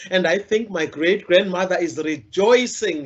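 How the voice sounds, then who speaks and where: A woman with a South African accent, medium pitch and a passionate tone, at a fairly slow pace with ordinary pitch variation. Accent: South African, Zulu-speaking. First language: isiZulu. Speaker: storyteller and literacy campaigner. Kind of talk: inspirational talk.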